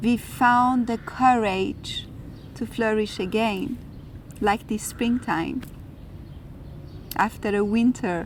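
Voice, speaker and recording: A woman with a fairly high pitch and an Iranian accent speaks at a very slow pace. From Iran and France. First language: Farsi. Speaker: spiritual video host. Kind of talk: reflective spiritual talk.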